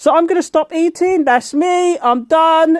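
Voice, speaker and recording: A woman speaks in a dry, close sound with no echo. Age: 60s. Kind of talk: casual talk to camera. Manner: chatty, informal.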